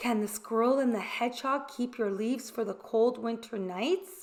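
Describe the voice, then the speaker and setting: In a put-on character voice, a woman talks at a moderate pace with a fairly high pitch. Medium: read story. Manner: earnest, anxious.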